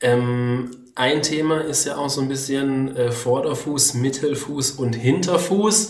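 Amid noticeable background noise and audible room echo, a man with a fairly high voice speaks very slowly with ordinary pitch variation. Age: 30s. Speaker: podcast host, journalist and amateur runner. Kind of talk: casual interview chat. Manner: hesitant, many fillers.

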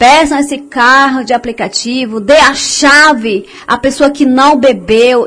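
Speaking very slowly, a woman uses a high pitch. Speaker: community radio host. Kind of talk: radio show. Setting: studio. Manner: casual, warm.

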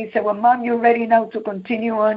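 With a Puerto Rican New York accent, a woman talks fairly quickly in a fairly high voice with monotone, flat intonation. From Puerto Rico. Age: 70s. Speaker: youth minister. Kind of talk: testimony.

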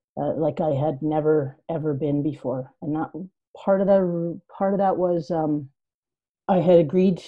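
With a Canadian accent, a plain, everyday voice speaks at a moderate pace with ordinary pitch variation. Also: woman. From Yukon, Canada. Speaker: writer and storyteller. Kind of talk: casual chat.

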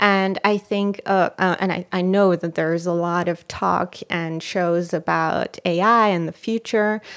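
A fairly slow, monotone delivery with flat intonation and hardly any pauses, in an Israeli accent, in a very clean recording with a silent background. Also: woman, fairly low pitch for a woman. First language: Hebrew. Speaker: actress and filmmaker. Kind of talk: podcast interview.

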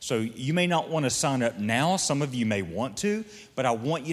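A man talks in an ordinary speaking voice at a medium pitch with lively intonation and a moderate pace. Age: 40s. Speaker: pastor. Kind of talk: sermon. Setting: stage with audience.

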